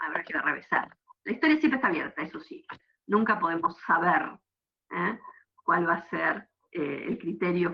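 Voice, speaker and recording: Long, frequent pauses break up a woman's speech. Between them, her pace stays moderate. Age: 50s. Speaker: university history lecturer. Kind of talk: lecture.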